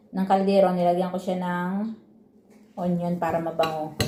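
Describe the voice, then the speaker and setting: A woman talks at a very slow pace. There is noticeable background noise and audible room echo. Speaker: vlogger, overseas worker. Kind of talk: casual mukbang vlog.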